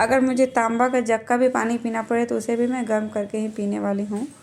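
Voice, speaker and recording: Over noticeable background noise, a woman speaks at a fairly slow pace with a fairly high pitch and monotone, flat intonation. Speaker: vlogger, housewife. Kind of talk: casual vlog narration. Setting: at home, kitchen.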